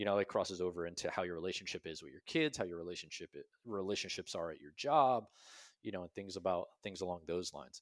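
A man speaks at a very fast pace with a very deep, low pitch, ordinary pitch variation and big swings in loudness. The recording is very clean with a silent background and a dry, close sound with no echo. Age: 30s. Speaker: army veteran and business founder. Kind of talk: interview storytelling.

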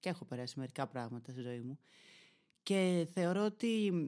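Lively in intonation and moderate in pace, a man's high-pitched, dark, mellow voice comes through on a very clean recording with a silent background. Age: 20s. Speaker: podcaster and YouTuber. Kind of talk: solo monologue podcast. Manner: animated.

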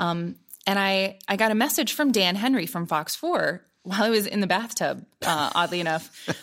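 On a very clean recording with a silent background, a woman with an American accent speaks at a moderate pace in an unremarkable speaking voice. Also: medium pitch for a woman, lively intonation. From US Midwest, Columbus, Ohio. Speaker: meteorologist, former TV weather presenter. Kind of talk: interview conversation.

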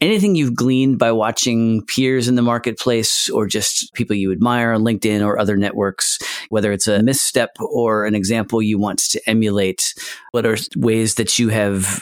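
Here a man with an unremarkable speaking voice talks at a moderate pace and medium pitch, his intonation fairly even and his loudness very even. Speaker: podcast host. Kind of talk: scripted intro and interview.

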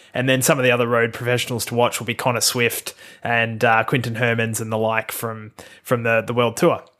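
With an Australian accent, a man talks at a fairly quick pace in a monotone, flat delivery, his medium-pitched voice having a bright, sharp tone. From Australia, Melbourne area. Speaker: podcast host. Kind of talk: solo podcast monologue. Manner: casual with frequent fillers and repetitions.

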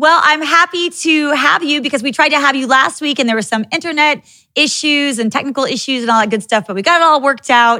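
Very fast and with hardly any pauses, a woman speaks at a high pitch in a raised, projected voice and an animated tone with ordinary pitch variation, on a very clean recording with a silent background. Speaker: podcast host. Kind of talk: casual chat.

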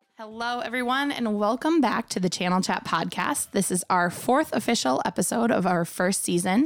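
Her intonation is lively. The woman speaks with an Upper Midwest accent. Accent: Upper Midwest (Minnesota). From US Midwest, Minnesota lakes area. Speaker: podcast host, marketing director. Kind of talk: podcast interview. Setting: studio.

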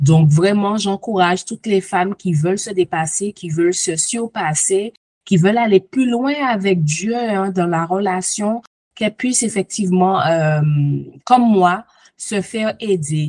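A woman at medium pitch with ordinary pitch variation and a normal speaking voice, at a fairly slow pace, in a dry, close recording without echo. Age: 40s. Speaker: coaching client giving testimony. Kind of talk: testimony.

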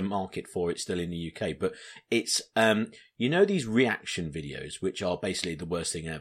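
In a very clean recording with a silent background, a man with an English accent talks at a fairly quick pace. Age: 30s. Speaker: podcast host. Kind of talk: casual chat.

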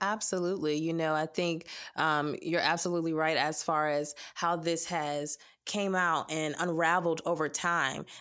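A woman's monotone, flat delivery at a very even loudness. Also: fairly low pitch for a woman, moderate pace. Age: young. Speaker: podcast host. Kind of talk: casual chat.

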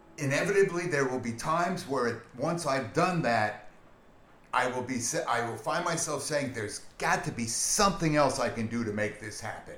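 A man's medium-pitched voice with lively intonation at a moderate pace, with noticeable background noise. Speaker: guest friend. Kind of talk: casual conversational podcast.

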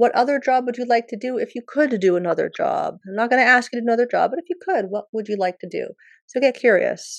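Speaking at a very fast pace, a woman uses a high pitch. Her intonation is lively. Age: 40s. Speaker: wellness coach and podcast host. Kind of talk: talk in a virtual healing circle. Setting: video call.

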